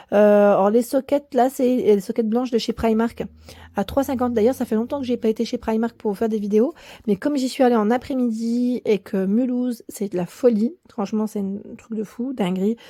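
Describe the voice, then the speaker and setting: A woman with a fairly high pitch and a dark, mellow tone talks at a moderate pace with ordinary pitch variation. The recording is very clean and silent behind her, with a dry, close sound and no echo. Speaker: YouTuber. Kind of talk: shopping haul video. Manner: hesitant, many fillers.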